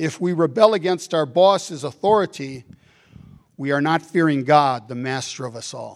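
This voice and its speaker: A man speaks in a plain, everyday voice at a moderate pace. His pitch sits fairly high and varies in an ordinary way. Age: 60s. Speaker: bishop. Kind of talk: sermon. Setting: church.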